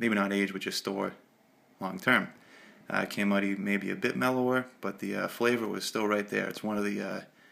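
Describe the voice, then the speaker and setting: A man speaks in a relaxed tone with an American accent. The recording is very clean and the background silent. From Massachusetts. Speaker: pipe smoking hobbyist vlogger. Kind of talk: casual show-and-tell vlog. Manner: relaxed, many filler 'uh's.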